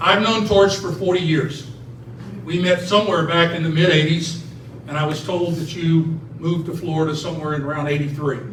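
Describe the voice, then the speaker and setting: A man speaks at a fairly quick pace with a fairly high pitch and fairly even intonation. Noticeable background noise and audible room echo surround his voice. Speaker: retired basketball referee and officiating trainer. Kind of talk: ceremony speech. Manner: loud.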